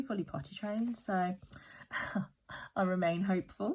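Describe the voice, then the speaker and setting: A somewhat breathy woman's voice with an English accent. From West Midlands, UK. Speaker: budgeting vlogger. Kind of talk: casual talk to camera.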